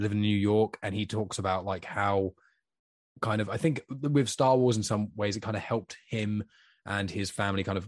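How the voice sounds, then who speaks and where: A man with a British accent and fairly low pitch, at a moderate pace with long, frequent pauses, in a dry, close sound with no echo against a quiet background. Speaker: podcast host. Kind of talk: casual chat. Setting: in person with guest. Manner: talkative.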